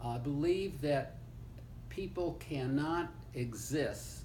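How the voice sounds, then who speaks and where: Audible room echo surrounds a man speaking. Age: 80s+. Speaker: retired law professor. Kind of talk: family oral history interview. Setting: seated interview with grandchild. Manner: halting, with fillers.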